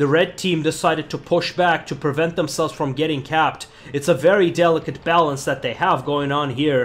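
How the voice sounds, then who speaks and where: Using a normal speaking voice, a man with a fairly high pitch talks at a moderate pace with fairly even intonation. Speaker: gaming commentator. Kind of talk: sports commentary. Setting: screen-recorded game commentary. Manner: explanatory and analytical.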